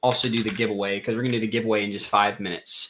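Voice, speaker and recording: A man speaks with a bright, sharp tone. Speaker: crypto livestreamer. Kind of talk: live stream with chat. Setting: live stream. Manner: fast; casual, filler-heavy.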